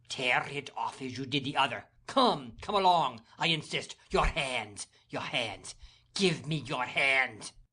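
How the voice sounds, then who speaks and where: A bellowing, put-on character voice, low-to-middle in pitch and fairly slow. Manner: roaring, furious.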